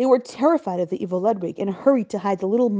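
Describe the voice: The words are read aloud plainly. Nothing more is added to the delivery.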